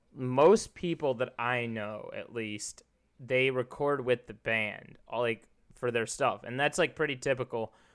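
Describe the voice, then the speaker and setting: A man with an American accent speaks at a fairly slow pace in a medium pitch. He has an ordinary speaking voice. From US Midwest, Chicago area. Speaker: podcast host. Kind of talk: casual chat.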